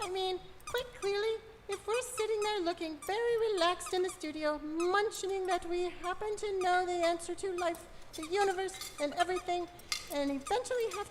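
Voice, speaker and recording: A put-on character voice at an extremely high pitch, with clear background noise. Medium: stage play. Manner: brisk, blunt.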